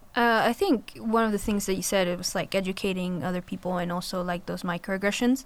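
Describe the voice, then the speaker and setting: A woman in a Spanish accent talks at a very fast pace with hardly any pauses. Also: medium pitch for a woman, ordinary pitch variation. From Colombia. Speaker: college student. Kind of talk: panel discussion.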